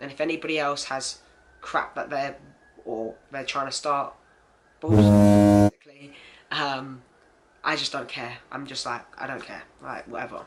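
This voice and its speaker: A man speaks with an English accent. His pitch is fairly high and his pace moderate. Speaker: transgender vlogger. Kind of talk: personal video diary. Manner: casual, many fillers.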